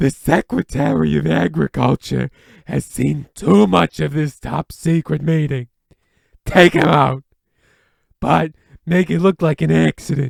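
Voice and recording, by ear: Using a put-on character voice, a man speaks at a medium pitch. His pace is fairly slow, with long, frequent pauses.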